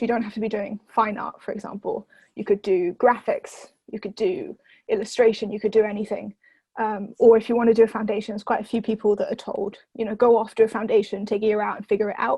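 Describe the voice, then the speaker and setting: Delivered at a very fast pace, the somewhat breathy voice keeps fairly even intonation but shows big swings in loudness. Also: woman. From southern England (Oxford), moved from France at about nine. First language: French. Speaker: university student. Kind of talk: interview. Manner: hesitant, many fillers and restarts.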